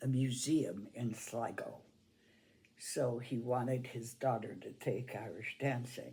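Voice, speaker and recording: A woman's very deep, low, somewhat breathy voice with a dark, mellow tone and an American accent, at a very slow pace with audible room echo. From New York, US. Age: 90s. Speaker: Irish dance teacher. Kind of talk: oral history interview. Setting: at her home.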